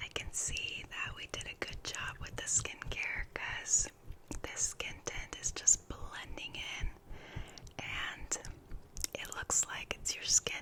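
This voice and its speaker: Noticeable background noise sits under a very slow whisper. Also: woman. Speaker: ASMR creator. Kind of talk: ASMR roleplay personal attention. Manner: soft-spoken, gentle, caring.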